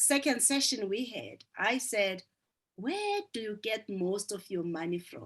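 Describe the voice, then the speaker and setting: A woman with a South African accent, fairly high in pitch and lively in intonation. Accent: South African (Zulu) English. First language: isiZulu. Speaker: business coach. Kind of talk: group coaching session.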